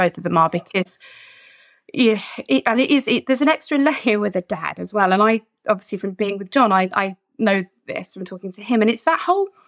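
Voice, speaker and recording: With an English accent, the speaker moves at a fairly quick pace with lively intonation and big swings in loudness, in a dry, close sound with no echo. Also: woman, medium pitch for a woman. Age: middle-aged. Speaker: podcast host. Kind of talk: casual chat. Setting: video call.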